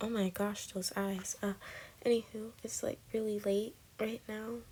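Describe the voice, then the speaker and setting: In a quiet voice, a woman speaks fairly slowly at a fairly high pitch with monotone, flat intonation. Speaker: artist narrating drawing video. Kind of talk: casual voiceover commentary. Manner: quiet, keeping voice down.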